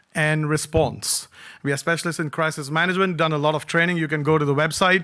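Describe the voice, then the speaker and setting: A man with a Punjabi accent speaks in a high voice with a bright, sharp tone. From Singapore. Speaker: cybersecurity speaker. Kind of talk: conference talk. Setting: stage with audience. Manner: animated.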